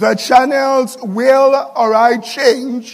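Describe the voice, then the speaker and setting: Heard with audible room echo, a man speaks at a very slow pace with an extremely high pitch and ordinary pitch variation. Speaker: pastor. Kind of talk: sermon.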